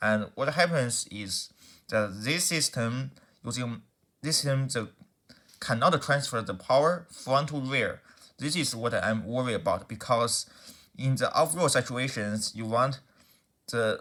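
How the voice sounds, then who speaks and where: This man talks at a fairly slow pace with long, frequent pauses. His medium-pitched voice has a bright, sharp tone and ordinary pitch variation. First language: not English. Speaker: car enthusiast YouTuber. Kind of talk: explainer video. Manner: halting, many restarts.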